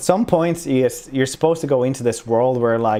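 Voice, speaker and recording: Against a quiet background, a man with a Swedish accent talks at a moderate pace in a medium-pitched voice with a dark, mellow tone. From Sweden. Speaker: streamer. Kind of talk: casual podcast conversation.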